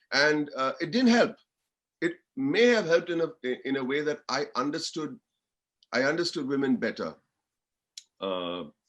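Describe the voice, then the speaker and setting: A man's fairly high pitch with very wide pitch swings. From India, Mumbai. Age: 60s. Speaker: guest speaker. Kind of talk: motivational talk. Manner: casual, with many hesitations.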